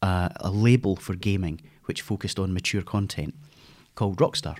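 A man with a Scottish accent, fairly low in pitch, at a moderate pace, on a very clean recording with a silent background. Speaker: games industry veteran. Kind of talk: casual interview conversation.

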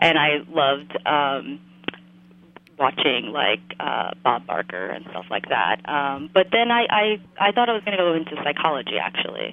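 A woman speaks with a very deep, low pitch. Her pitch swings very widely at a fairly slow pace. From New Jersey. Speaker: artist and designer. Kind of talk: casual interview. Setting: phone call. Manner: hesitant, many fillers.

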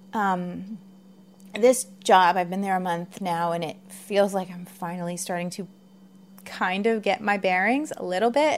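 At a fairly slow pace, a woman speaks at medium pitch with ordinary pitch variation and big swings in loudness. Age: 40s. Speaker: podcast host. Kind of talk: solo podcast monologue. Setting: home recording. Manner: halting, many fillers.

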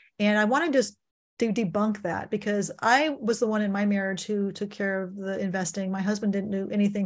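At a medium pitch, a woman talks fairly quickly in a somewhat breathy voice with fairly even intonation. The recording is very clean, with a silent background. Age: 60s. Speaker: financial coach and author. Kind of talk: interview. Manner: halting, with frequent repetitions.

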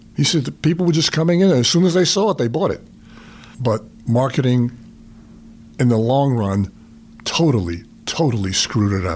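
A man with a New York accent speaks at a fairly quick pace and medium pitch, using very wide pitch swings and long, frequent pauses. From New York, the Bronx. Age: 80s+. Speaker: retired sales executive. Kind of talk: interview, life stories. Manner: halting, with repeated fillers.

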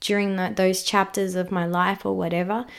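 The speaker has an Australian accent, heard in a very clean recording against a silent background. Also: woman. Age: 30s. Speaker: podcast host. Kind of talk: casual chat.

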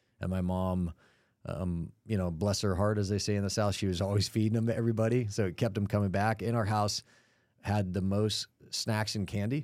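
In an American accent, a normal speaking voice moves at a fairly quick pace, with very even loudness and fairly even intonation. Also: man, fairly low pitch for a man. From US (Cleveland, Los Angeles, Atlanta). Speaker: commercial real estate firm founder and CEO. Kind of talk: interview conversation. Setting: studio.

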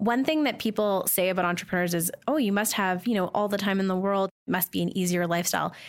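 With a western Canadian accent, a woman talks at a fairly quick pace and a medium pitch, her pitch varying in an ordinary way. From Canada, Calgary. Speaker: social media marketing consultant. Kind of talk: casual interview while playing a board game.

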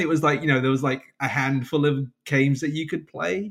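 In a London accent, a man speaks at a very fast pace. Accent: southern English (London). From England. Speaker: software developer and side project maker. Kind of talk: casual interview. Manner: hesitant, many fillers and repeats.

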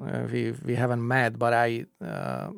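A man speaks with a Czech accent. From Czech Republic. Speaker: podcast host. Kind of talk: casual interview. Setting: studio. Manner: hesitant, many fillers.

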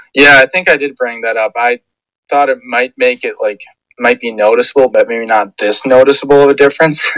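Speaking at a fairly quick pace, a man with an unremarkable speaking voice keeps a medium pitch and fairly even intonation, with a dry, close sound and no echo. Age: 20s. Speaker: football fan guest. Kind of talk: casual chat.

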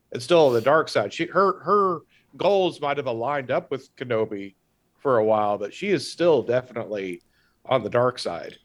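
Over a very clean recording with a silent background, a man speaks at a moderate pace and medium pitch with very wide pitch swings. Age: 40s. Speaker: podcast guest. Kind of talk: casual chat.

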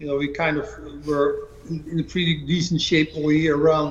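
A man's high-pitched voice at a fairly slow pace, with audible room echo and noticeable background noise. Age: 50s. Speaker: bodybuilding coach and former pro bodybuilder. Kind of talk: interview. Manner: halting.

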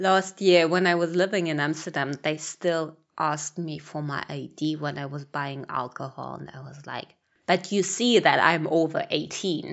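The speaker talks at a moderate pace with a German accent. The loudness swings a lot. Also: woman, very deep, low pitch for a woman, ordinary pitch variation. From Germany, Berlin. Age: 30s. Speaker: podcast host. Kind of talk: solo podcast monologue. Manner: casual, chatty.

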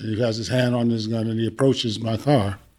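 This man has an American accent and keeps a moderate pace. His intonation is monotone and flat. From New York. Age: 60s. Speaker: retired teacher and police officer. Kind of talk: panel discussion.

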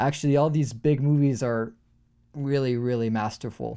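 A man's dark, mellow tone in a very clean recording with a silent background. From France. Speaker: music producer. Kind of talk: interview conversation.

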